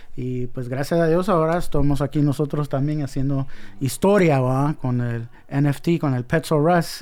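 This man talks at a fairly slow pace, his pitch fairly high for a man. His tone is dark and mellow, with fairly even intonation. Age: 40s. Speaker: graffiti artist. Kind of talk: casual interview. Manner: hesitant, repeats words.

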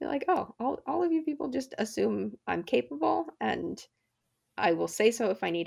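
A woman with an American accent at a moderate pace. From New Jersey, US. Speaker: stage manager. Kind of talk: interview. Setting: remote recording.

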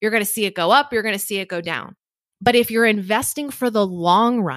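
A woman with a plain, everyday voice, fairly high pitch, lively intonation and a moderate pace, dry and close with no echo on a very clean recording with a silent background. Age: 30s. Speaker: personal finance speaker and event organizer. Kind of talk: interview.

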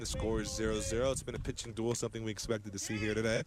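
A man talks at a very fast pace in a flat monotone, his pitch medium, with noticeable background noise behind him. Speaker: radio sports play-by-play announcer. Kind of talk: live sports commentary, play-by-play on a baseball game, calling counts and pitches. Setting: radio broadcast booth.

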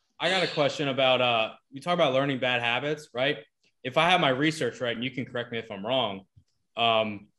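Against a quiet background, a man talks at a fairly quick pace in a bright, sharp tone, medium in pitch with ordinary pitch variation. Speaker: podcast host. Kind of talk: casual banter podcast. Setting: video call.

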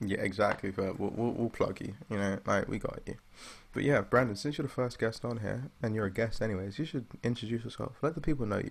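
A man at a very fast pace, medium in pitch, with ordinary pitch variation. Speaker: podcast host. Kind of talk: casual banter among friends, chaotic.

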